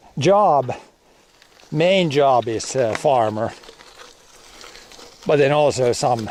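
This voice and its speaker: A man with a Finland Swedish accent at a very slow pace, medium pitch and ordinary pitch variation, with long, frequent pauses over noticeable background noise. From Finland, Swedish-speaking area. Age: 40s. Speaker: farmer and streamer. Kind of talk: casual livestream chat. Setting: outdoors, cycling on gravel. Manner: halting, with fillers and repetitions.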